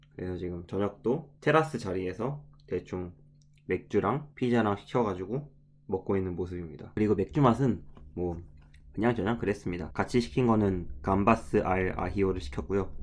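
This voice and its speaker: Against a quiet background, a man with a fairly low pitch speaks at a moderate pace with lively intonation, an unremarkable speaking voice. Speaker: travel vlogger. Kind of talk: vlog voiceover narration. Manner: casual, conversational with self-corrections.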